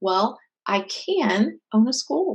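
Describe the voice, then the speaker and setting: Her voice sits fairly high. The woman speaks with a West Coast US accent. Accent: General American (West Coast). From California, US (San Jose). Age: 50s. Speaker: author and martial arts instructor. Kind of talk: interview conversation.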